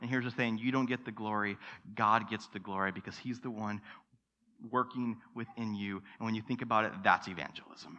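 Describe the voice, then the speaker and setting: Speaking in a normal speaking voice, a man has a medium pitch and fairly even intonation. The background is quiet. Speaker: pastor. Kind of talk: sermon. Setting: church.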